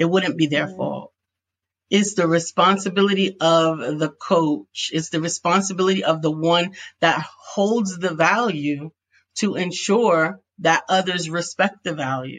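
Using a plain, everyday voice, a woman talks at a fairly slow pace with a fairly low pitch and ordinary pitch variation. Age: 50s. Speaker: business coach and author. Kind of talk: interview.

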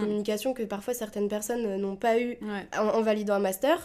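This woman's voice sits fairly high in pitch and carries a dark, mellow tone. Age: 20s. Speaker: podcast co-host. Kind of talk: casual chat.

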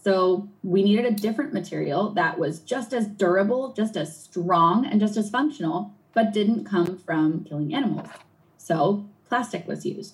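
Here is a woman with an American accent and an unremarkable speaking voice, at medium pitch. She talks at a moderate pace with lively intonation. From New England, US. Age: 30s. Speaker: marine scientist and environmental activist. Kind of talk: interview answering a child's questions.

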